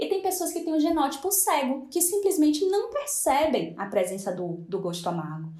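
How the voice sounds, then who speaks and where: A woman talks at a fairly quick pace with very wide pitch swings, amid audible room echo and noticeable background noise. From Brazil, Salvador (Bahia). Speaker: nutritionist. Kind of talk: interview. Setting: video call.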